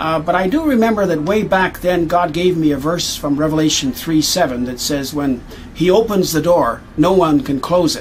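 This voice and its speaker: At a moderate pace, a man with a Canadian accent talks in a high pitch with ordinary pitch variation, with noticeable background noise present. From Canadian prairies. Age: 60s. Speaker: missionary. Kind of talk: award acceptance speech. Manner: halting, many fillers.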